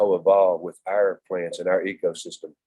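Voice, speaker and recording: A man with a Texan accent speaks at a moderate pace. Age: 60s. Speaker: native plant instructor. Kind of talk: lecture. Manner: animated.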